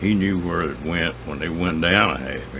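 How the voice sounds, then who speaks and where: Over noticeable background noise, a man with a rural Southern US accent talks at a fairly slow pace in a relaxed tone. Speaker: outdoorsman, angler and hunter. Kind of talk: casual storytelling to camera. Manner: folksy, relaxed.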